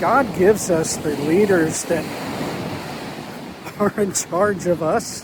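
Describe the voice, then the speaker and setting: Over noticeable background noise, a high-pitched man talks at a very slow pace with ordinary pitch variation. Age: old. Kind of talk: casual talk to camera. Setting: outdoors. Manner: reflective.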